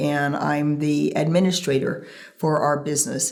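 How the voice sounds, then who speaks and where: Audible room echo surrounds a woman with an American accent and a very deep, low pitch. She speaks at a fairly slow pace with fairly even intonation. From Northern California, Central Valley. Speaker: ranch administrator. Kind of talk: interview.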